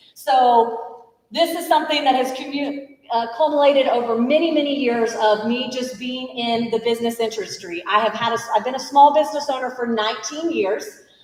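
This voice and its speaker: Over noticeable background noise, a woman with a high-pitched voice talks in an animated tone at a moderate pace, her pitch varying in an ordinary way. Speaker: small business owner and event organizer. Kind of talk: business training presentation. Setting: room with live audience, livestreamed.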